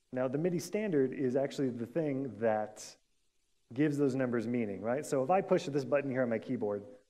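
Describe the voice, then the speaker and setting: A man with an American accent at a fairly quick pace, with audible room echo. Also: medium pitch for a man. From US Pacific Northwest. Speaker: conference speaker, software developer. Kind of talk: conference talk. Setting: stage with audience. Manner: fast.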